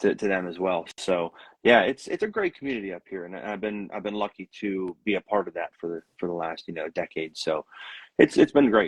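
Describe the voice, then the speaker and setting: A man with a Pittsburgh accent, fairly low in pitch, at a fairly quick pace, with ordinary pitch variation, big swings in loudness, and a dry, close sound with no echo. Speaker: country musician. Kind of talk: casual chat. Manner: halting, many repeated words.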